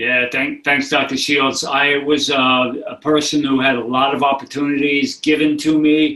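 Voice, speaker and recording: A man with a New England accent speaks at a moderate pace with hardly any pauses, his fairly high voice bright and sharp but flat and monotone. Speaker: author and addiction recovery advocate. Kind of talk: interview. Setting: remote call.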